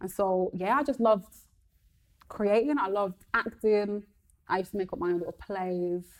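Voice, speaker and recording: A woman with a Birmingham accent speaks at a moderate pace. Her pauses are long and frequent. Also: medium pitch for a woman, ordinary pitch variation. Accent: Birmingham (Brummie) English. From Birmingham, England. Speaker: comedian and radio presenter. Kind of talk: casual chat.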